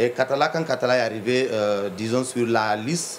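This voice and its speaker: A man with a Guinean accent, medium pitch, fairly even intonation and a moderate pace. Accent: Guinean French accent, unchanged. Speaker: entrepreneur, coffee distributor. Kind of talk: TV interview. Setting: TV studio with cameras. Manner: hesitant, many fillers.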